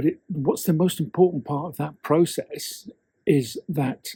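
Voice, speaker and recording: In a dry, close sound with no echo, a man speaks at a fairly slow pace in a somewhat breathy voice with a dark, mellow tone. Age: 60s. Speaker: copywriter and storytelling coach. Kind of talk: casual talk to camera.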